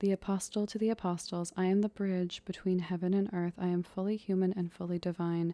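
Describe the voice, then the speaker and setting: Soft-spoken and with a dark, mellow tone, a woman talks at medium pitch and a fairly quick pace with hardly any pauses. Her intonation is monotone and flat, her loudness very even. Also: dry, close sound with no echo. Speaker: ASMR tarot reader. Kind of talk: ASMR tarot reading, role-play as big sister.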